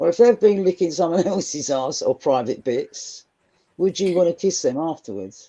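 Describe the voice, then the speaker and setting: The speaker has a Cockney accent and a dark, mellow tone. The pace is moderate and the intonation lively. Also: woman, fairly low pitch for a woman. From London (Cockney). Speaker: guest on live stream panel. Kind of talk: casual chat.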